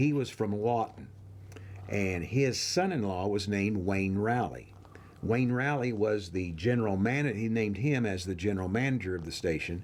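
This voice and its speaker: Moderate-paced speech from a fairly low-pitched man with an American accent, ordinary pitch variation and audible room echo. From Oklahoma, Claremore area. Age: 70s. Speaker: oral history interviewee. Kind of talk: oral history interview. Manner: hesitant, many fillers.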